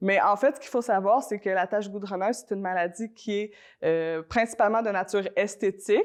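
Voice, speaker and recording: Over a quiet background, a woman speaks at a fairly quick pace in a medium pitch with ordinary pitch variation. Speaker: environmental organization representative. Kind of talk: interview on local TV. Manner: many hesitations (euh).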